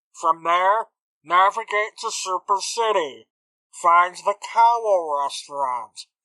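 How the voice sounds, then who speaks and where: In a put-on character voice, a woman speaks at a fairly slow pace with a dry, close sound and no echo. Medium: actual play. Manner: clipped, businesslike.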